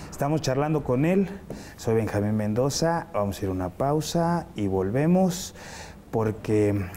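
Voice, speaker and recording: A man's normal speaking voice with lively intonation, a fairly slow pace and light background noise. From Mexico. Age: young. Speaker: TV host. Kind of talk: interview. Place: studio. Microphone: lapel.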